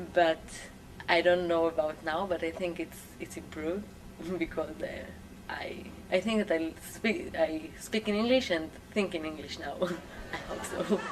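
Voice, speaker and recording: A woman with a fairly low pitch talks at a moderate pace and fairly even intonation. She leaves long, frequent pauses, and there is noticeable background noise. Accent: Israeli. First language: Hebrew. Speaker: English language student. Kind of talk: interview answers. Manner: halting.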